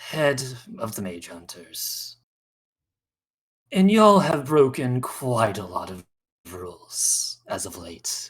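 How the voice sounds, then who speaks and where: Using a put-on character voice, the speaker moves at a fairly slow pace with long, frequent pauses. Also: man, medium pitch for a man. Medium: actual play. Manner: cocky, menacing drawl.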